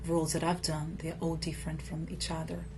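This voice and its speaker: Woman with a Brazilian accent and audible room echo. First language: Portuguese. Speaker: actress. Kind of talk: interview. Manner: halting with fillers.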